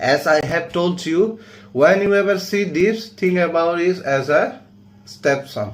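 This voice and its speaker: This man talks fairly slowly in a high voice with lively intonation and a non-native accent. Room echo is audible. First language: not English. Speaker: coding teacher. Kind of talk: tutorial.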